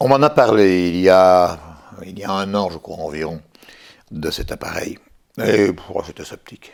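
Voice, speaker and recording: A man with a very deep, low voice and ordinary pitch variation talks at a fairly slow pace, leaving long, frequent pauses. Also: big swings in loudness. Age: 60s. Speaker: patient, retired French teacher. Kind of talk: testimony. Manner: hesitant, many fillers and repetitions.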